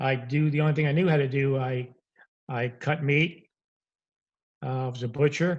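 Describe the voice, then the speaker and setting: Somewhat breathy and fairly high in pitch, a man with an American accent talks at a moderate pace with fairly even intonation. Long, frequent pauses break up his speech. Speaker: repossession business founder. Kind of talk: interview storytelling.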